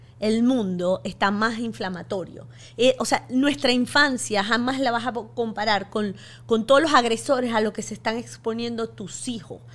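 A woman's fairly high voice with vocal fry, ordinary pitch variation and a moderate pace. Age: 50s. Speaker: physician and author; podcast guest. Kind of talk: interview. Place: studio. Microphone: studio mic.

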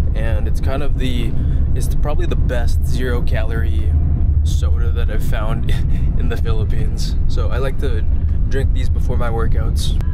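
Music plays behind a man speaking at a moderate pace. The sound is dry, with no echo. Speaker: vlogger. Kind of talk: casual vlog chat. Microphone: phone near.

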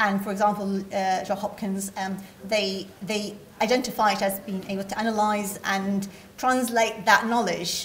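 Over light background noise, a woman speaks at a moderate pace with monotone, flat intonation. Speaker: conference presenter. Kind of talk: lecture. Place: hall. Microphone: podium.

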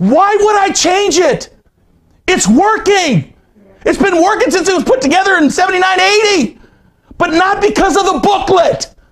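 With lively intonation and a moderate pace, a man talks at an extremely high pitch in a fairly bright tone.

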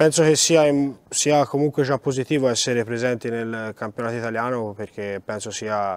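One man talks with an unremarkable speaking voice at medium pitch. His pace is moderate, and his intonation is fairly even. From Italy, Florence; Italy. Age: 20s. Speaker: rally driver. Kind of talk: interview. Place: hall.

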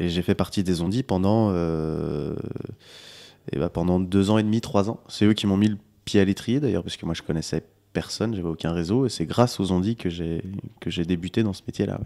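Against a quiet background, a man's very deep, low voice carries a dark, mellow tone with ordinary pitch variation. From France, Lyon region (Monts du Lyonnais); France. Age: 20s. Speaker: singer-songwriter; interviewee. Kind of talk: interview. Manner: hesitant, repeats words. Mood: relaxed, friendly. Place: kitchen. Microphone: handheld.

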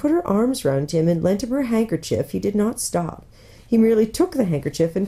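The clip is plain reading aloud with lively intonation.

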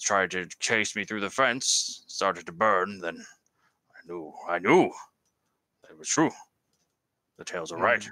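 Fairly low in pitch, a man speaks at a fairly slow pace. Long pauses come frequently. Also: big swings in loudness. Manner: wary, formal, old-fashioned.

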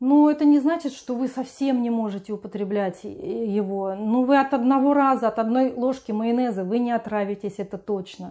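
Against a quiet background, a woman with a fairly high pitch and a dark, mellow tone speaks at a moderate pace. Her pitch varies in an ordinary way, with hardly any pauses. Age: 50s. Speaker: lifestyle vlogger. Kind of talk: video blog monologue. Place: home room. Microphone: lapel.

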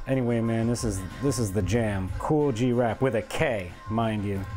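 Music plays in the background as a man talks with ordinary pitch variation. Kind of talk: casual work-along chat. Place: workshop.

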